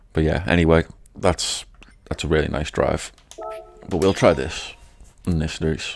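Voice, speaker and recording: Very deep and low, a man's voice carries a British accent. He leaves long, frequent pauses. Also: fairly even intonation, moderate pace. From Britain. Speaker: gaming streamer. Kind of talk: live gameplay commentary.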